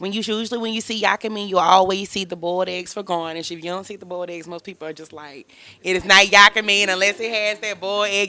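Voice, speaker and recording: A woman speaks at a medium pitch. She talks with a Southern US accent. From Mississippi. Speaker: chef. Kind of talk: casual interview.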